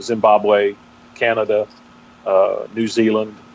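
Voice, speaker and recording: Over noticeable background noise, a man speaks at a fairly slow pace with a strong Texas accent. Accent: strong Texas brogue. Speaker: pastor. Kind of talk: interview. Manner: halting.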